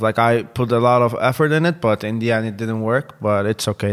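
Speaking with a Turkish accent, a man keeps to a medium pitch. His pace is fairly quick. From Turkey. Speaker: football content presenter. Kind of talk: casual interview chat.

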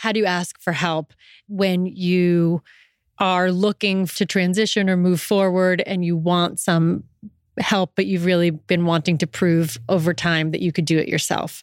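A woman with an ordinary speaking voice and a fairly low pitch talks at a fairly slow pace with fairly even intonation and very even loudness. The sound is dry and close with no echo, on a very clean recording with a silent background. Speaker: podcast host. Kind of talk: live interview. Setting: stage with audience.

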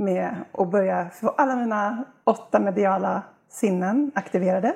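This woman talks very slowly at a medium pitch, with vocal fry. Her pitch rises and falls in an ordinary way. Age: 50s. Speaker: healer. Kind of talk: casual chat.

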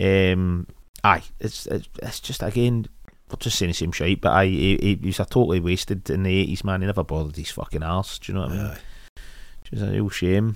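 In a very clean recording with a silent background, a man with a Scottish accent and a very deep, low pitch speaks at a fairly quick pace, with ordinary pitch variation and big swings in loudness. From Scotland. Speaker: podcast co-host. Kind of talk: casual chat.

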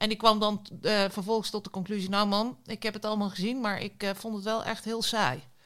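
A woman talks at a fairly quick pace with hardly any pauses, in a plain, everyday voice. Her medium pitch follows a fairly even intonation. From rural Netherlands. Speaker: podcast co-host. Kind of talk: casual chat.

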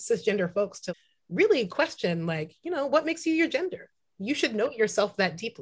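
Against a quiet background, a woman talks at a fairly quick pace in a somewhat breathy voice. Her fairly high pitch makes very wide swings. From US West Coast, San Francisco Bay Area. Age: 30s. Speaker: tattoo artist and activist. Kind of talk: casual interview. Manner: animated.

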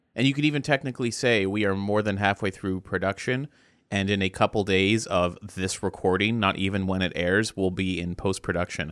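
A man with a normal speaking voice talks at a fairly quick pace in a fairly low pitch with ordinary variation, in a dry, close sound with no echo on a very clean recording with a silent background. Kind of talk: casual chat, informal banter.

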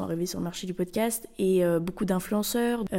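This woman talks at a fairly quick pace with a medium pitch. Her tone is dark and mellow, her intonation fairly even. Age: 20s. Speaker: architecture student and podcaster. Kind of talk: casual solo monologue. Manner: hesitant, many fillers.

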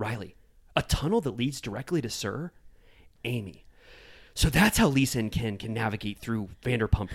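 Reading is done in an unforced voice here.

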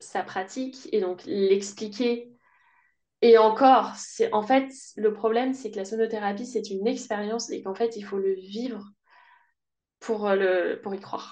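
The speech comes at a very slow pace with fairly even intonation over a quiet background. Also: woman. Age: 30s. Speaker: sound therapist and voice coach. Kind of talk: casual interview.

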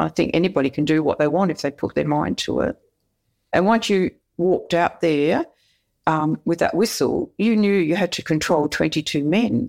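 Speaking in an Australian accent, a woman talks at a moderate pace with a fairly low pitch, ordinary pitch variation and vocal fry. The recording is very clean, with a silent background. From Perth, Western Australia. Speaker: retired soccer referee. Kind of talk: interview.

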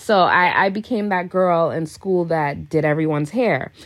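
An ordinary speaking voice with ordinary pitch variation comes through a very clean recording with a silent background. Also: woman. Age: 30s. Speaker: celebrity hairstylist. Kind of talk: interview.

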